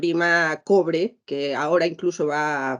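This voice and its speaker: A woman speaks at a fairly slow pace in a fairly low pitch. Her intonation stays fairly even. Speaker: lawyer / business panelist. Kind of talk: panel presentation. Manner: hesitant, many fillers and repetitions.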